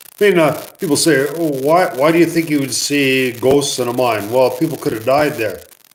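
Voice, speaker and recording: With audible room echo and noticeable background noise, a man talks at a moderate pace in a fairly high voice, using ordinary pitch variation and hardly any pauses. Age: 50s. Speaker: mine explorer and museum owner. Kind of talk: live stream Q&A; storytelling. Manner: casual, hesitant with fillers.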